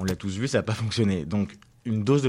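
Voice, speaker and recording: A man speaks at a moderate pace in a fairly low pitch with ordinary pitch variation. The recording is very clean, with a silent background. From Paris region, France. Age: 20s. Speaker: young politician. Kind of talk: radio interview. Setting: studio. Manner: halting.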